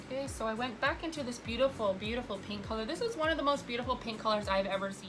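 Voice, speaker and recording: Amid noticeable background noise, a woman speaks at a very fast pace in a fairly high pitch with hardly any pauses. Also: ordinary pitch variation. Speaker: makeup artist vlogger. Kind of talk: makeup tutorial. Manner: stutters a little; casual chatty.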